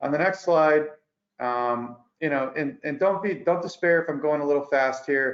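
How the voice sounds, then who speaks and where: Talking at a fairly quick pace, a man uses a medium pitch. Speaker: accountant presenting tax update. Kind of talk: webinar presentation. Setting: online webinar. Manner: fast.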